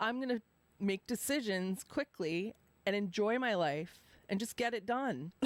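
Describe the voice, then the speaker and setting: In an American accent, a woman speaks at a fairly slow pace and medium pitch with lively intonation and very even loudness, in a dry, close sound with no echo. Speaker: live stream host. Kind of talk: casual chat.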